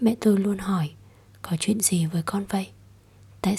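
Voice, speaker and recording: Somewhat breathy, a woman speaks with a dark, mellow tone at a medium pitch. Her intonation is fairly even and her pace fairly slow. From southern Vietnam. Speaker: podcast host. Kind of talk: personal monologue. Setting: home recording late at night.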